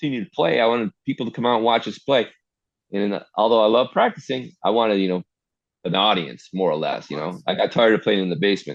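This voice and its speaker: Lively intonation from a man with fairly low pitch at a very fast pace. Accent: Midwestern. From US Midwest, Detroit. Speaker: artist and hardcore musician. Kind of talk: casual interview chat. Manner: fast talker.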